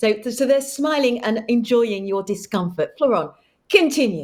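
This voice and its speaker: A high-pitched woman with a London accent and very wide pitch swings. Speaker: panel moderator. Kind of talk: panel discussion.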